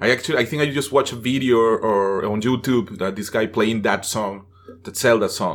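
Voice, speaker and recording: A man with a Venezuelan accent, medium pitch, ordinary pitch variation and a fairly quick pace, in a very clean recording with a silent background. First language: Spanish. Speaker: actor. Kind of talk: casual chat.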